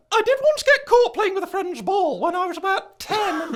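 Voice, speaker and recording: A man puts on a character voice pitched extremely high, talking at a fairly quick pace. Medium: audio drama. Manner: prim, pedantic, flustered.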